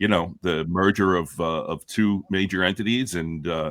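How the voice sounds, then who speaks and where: A man's very deep, low voice with ordinary pitch variation. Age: 60s. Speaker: sports card collector and hobby channel creator. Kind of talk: casual panel discussion on live show. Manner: halting, many fillers and repetitions.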